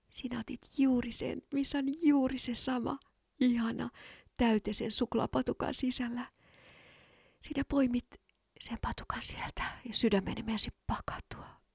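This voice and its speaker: A woman's high voice at a fairly slow pace, with fairly even intonation. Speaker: podcast host. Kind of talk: whispered ASMR monologue, intimate and sensual, like a close-mic love confession. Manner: soft, slow, breathy and hushed, dreamy and teasing, with kisses at the end.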